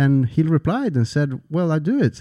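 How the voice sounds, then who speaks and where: A man's dark, mellow voice with ordinary pitch variation, in a very clean recording with a silent background. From Sweden. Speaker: entrepreneur and author. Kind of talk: interview. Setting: studio.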